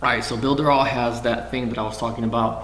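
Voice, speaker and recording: Speaking at a fairly quick pace, a man holds a medium pitch with fairly even intonation. Noticeable background noise and audible room echo fill the recording. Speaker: online marketing vlogger. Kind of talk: tutorial.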